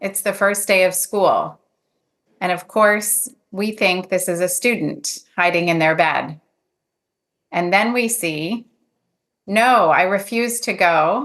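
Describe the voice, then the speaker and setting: A woman with an American accent speaks at a very slow pace, with long, frequent pauses. Her pitch is medium and its variation is ordinary. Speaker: clinical psychologist and professor. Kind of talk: conference talk. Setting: video call. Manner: deliberately slowed for interpreters.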